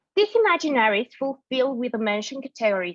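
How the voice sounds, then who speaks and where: Speaking very fast with a Mexican accent, a woman uses a high pitch and lively intonation, recorded with a dry, close sound with no echo. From Mexico. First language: Spanish. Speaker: art historian and dance researcher. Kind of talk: conference talk. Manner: halting with self-corrections.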